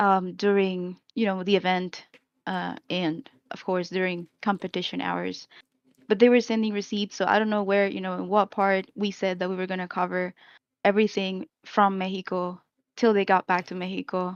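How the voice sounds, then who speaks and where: A woman with a Spanish accent speaks at a moderate pace in a medium pitch, her intonation monotone and flat. The background is quiet, and the sound is dry and close with no echo. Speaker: esports team manager. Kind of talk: explanation in a live-stream discussion. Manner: hesitant, many fillers.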